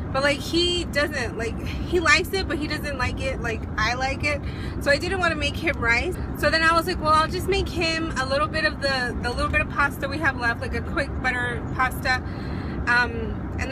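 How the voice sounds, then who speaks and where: Over noticeable background noise, a woman speaks at a moderate pace, the sound dry with no echo. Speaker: vlogger. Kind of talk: casual vlog chat. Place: car. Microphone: phone near.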